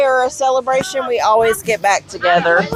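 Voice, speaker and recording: Over noticeable background noise, a woman talks in a high voice. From Louisiana. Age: 40s. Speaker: bar patron. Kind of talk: casual chat.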